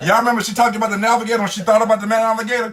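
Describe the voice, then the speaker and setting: Loud and animated, a man speaks in a high voice over noticeable background noise. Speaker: co-host of live stream, husband. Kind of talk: casual chat.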